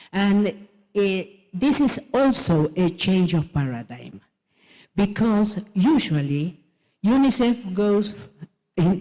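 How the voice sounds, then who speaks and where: A woman's medium-pitched voice with a Spanish accent and dark, mellow tone at a very slow pace. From Argentina. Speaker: president of an international education organization. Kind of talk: conference keynote speech. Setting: conference stage. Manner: halting.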